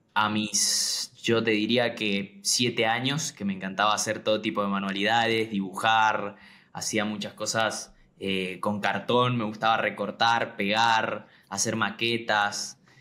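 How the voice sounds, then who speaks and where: In an Argentine accent, a man speaks fairly slowly with a fairly low pitch and a bright, sharp tone, his intonation monotone and flat over a very clean recording with a silent background. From Argentina, Mendoza province. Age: 20s. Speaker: graphic designer. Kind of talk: interview.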